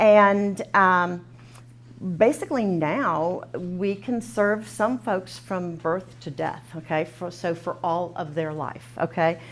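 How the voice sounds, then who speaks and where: A woman speaks with a Texan accent and vocal fry. Her pitch swings very widely. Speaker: nonprofit program coordinator running a training. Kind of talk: training session introduction. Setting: classroom with live audience and Zoom. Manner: fast; informal, filler words.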